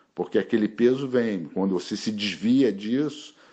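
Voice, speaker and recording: His pitch swings very widely. The man keeps to a fairly slow pace. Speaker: martial arts master. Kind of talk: interview.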